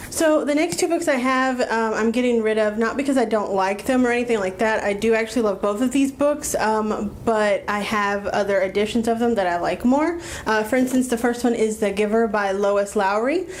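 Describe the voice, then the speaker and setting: Against noticeable background noise, a woman speaks fairly quickly with hardly any pauses, at a fairly high pitch with ordinary pitch variation and very even loudness. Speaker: book vlogger. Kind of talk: casual vlog monologue. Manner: fast; filler-heavy, many ums.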